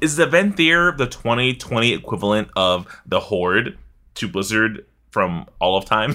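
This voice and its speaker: Speaking at a moderate pace, a man with a medium pitch sounds animated and bright, sharp in tone, with very wide pitch swings. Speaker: podcast host. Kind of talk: casual chat. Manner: animated, laughs often.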